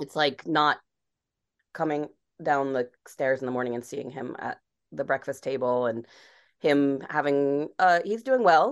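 A woman's very deep, low voice at a fairly slow pace, with long, frequent pauses and ordinary pitch variation. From Rhode Island. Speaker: screenwriter. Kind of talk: interview.

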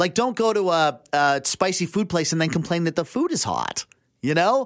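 A man with a high voice and a western Canadian accent speaks with lively intonation. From western Canada (Abbotsford, British Columbia). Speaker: radio contributor. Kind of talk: casual chat. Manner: halting, many fillers and restarts.

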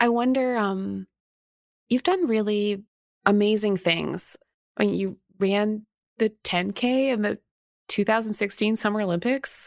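Speaking slowly with a Canadian accent, a woman uses a medium pitch, very even loudness and long, frequent pauses. The recording is very clean and dry, close with no echo, over a silent background. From Canada. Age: 40s. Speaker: podcast host and historian. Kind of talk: interview.

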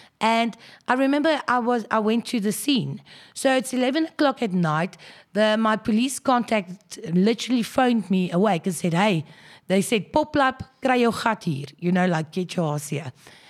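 Someone with a South African accent speaks at a moderate pace with very wide pitch swings, on a very clean recording with a silent background. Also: woman, fairly high pitch for a woman. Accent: Afrikaans South African English. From South Africa, Krugersdorp (Gauteng). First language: Afrikaans. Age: 30s. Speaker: journalist. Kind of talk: interview.

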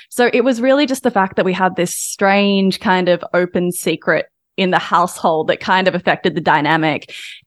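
A woman with an Australian accent talks at a fairly quick pace and medium pitch, in a very clean, silent recording with a dry, close sound and no echo. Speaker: journalist and author. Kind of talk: interview.

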